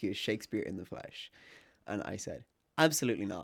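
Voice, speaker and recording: With a plain, everyday voice, a man talks at a fairly quick pace and a fairly low pitch. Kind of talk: casual chat. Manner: casual, bantering.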